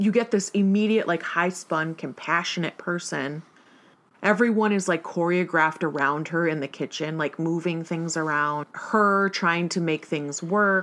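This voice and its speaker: An unremarkable speaking voice from a woman, fairly low in pitch, with ordinary pitch variation and a fairly slow pace. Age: 30s. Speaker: podcast co-host. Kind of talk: casual chat.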